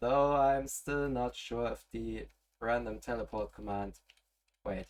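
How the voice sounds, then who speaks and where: A man talks with a German accent. His pace is fairly slow. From German-speaking Europe. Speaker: gaming streamer. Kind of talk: live gameplay stream. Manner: relaxed; halting.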